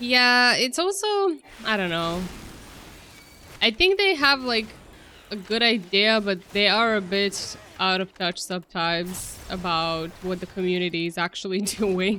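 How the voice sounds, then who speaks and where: A woman speaks at a medium pitch with ordinary pitch variation and a bright, sharp tone. Her pace is fairly slow, broken by long, frequent pauses. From Croatia. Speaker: video game streamer. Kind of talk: live gameplay commentary. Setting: live stream.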